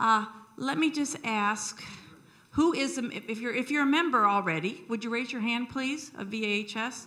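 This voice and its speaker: A woman speaks loudly with a bright, sharp tone and lively intonation. Room echo is audible. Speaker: membership chair of a historical society. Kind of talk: event welcome speech. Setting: lecture hall with audience. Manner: friendly and animated.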